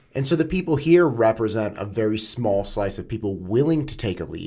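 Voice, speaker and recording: On a very clean recording with a silent background, a man with a fairly low voice talks at a fairly quick pace with very wide pitch swings. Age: 40s. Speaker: podcast host. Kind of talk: casual chat. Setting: studio.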